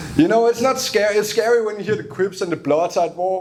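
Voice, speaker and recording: Noticeable background noise sits behind a very fast voice with a Danish accent. The intonation is lively. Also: man. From Denmark. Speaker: stand-up comedian. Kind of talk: stand-up. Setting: stage with audience.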